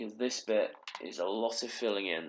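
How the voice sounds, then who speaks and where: Here is a man with an unremarkable speaking voice. He talks at a moderate pace and a medium pitch. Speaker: gaming tutorial creator. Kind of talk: tutorial. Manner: casual.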